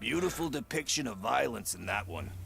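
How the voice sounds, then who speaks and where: Raspy put-on character voice from a man at medium pitch, fairly quick pace, with clear background noise. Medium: video game. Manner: laid-back, chatty.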